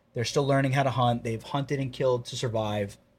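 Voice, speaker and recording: A man talks at a medium pitch, somewhat breathy, with fairly even intonation. The recording is very clean, with a silent background. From North Jersey, Bergen County. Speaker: plumbing contractor and falconer. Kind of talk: casual chat.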